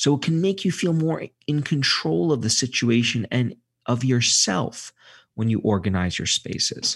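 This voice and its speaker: On a very clean recording with a silent background, a man with a medium pitch speaks somewhat breathily at a moderate pace, his pitch swinging very widely while his loudness stays very even. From Brooklyn, New York. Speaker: psychology professor and author. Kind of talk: interview. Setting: studio.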